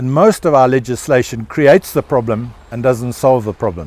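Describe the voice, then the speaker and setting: In a South African accent, a man with a medium pitch speaks at a moderate pace with lively intonation, the sound dry and close with no echo. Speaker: rancher and holistic management educator. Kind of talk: interview answer.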